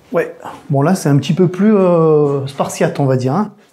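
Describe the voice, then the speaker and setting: Ordinary pitch variation and a moderate pace from a woman with a fairly low pitch. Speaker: urban explorer and video maker. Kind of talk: casual walkthrough narration. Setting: indoors in an abandoned house. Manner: hesitant, many fillers.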